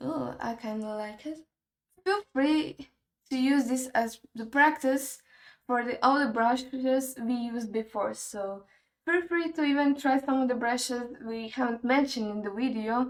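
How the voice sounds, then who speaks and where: Speaking at a fairly slow pace, a woman with a non-native accent has a high pitch. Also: ordinary pitch variation. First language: not English. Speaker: 3D art tutorial creator. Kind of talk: tutorial. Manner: casual, thinking aloud.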